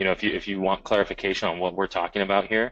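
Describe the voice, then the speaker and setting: A man's fairly low-pitched voice with an American accent. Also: quiet background. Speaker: software trainer. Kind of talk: live webinar tutorial. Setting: webinar with screen share. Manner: casual, many fillers.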